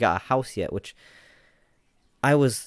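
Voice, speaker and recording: The recording of this man is very clean, with a silent background. His voice sounds dry and close, without any echo. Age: 20s. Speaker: podcaster. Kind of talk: personal vlog monologue. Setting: home recording.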